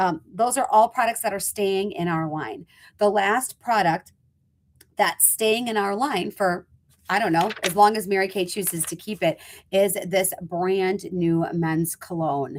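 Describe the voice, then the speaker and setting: In a very clean recording with a silent background, a woman speaks at a medium pitch and a fairly slow pace, with ordinary pitch variation. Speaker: cosmetics sales leader. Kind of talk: product presentation video. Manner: animated.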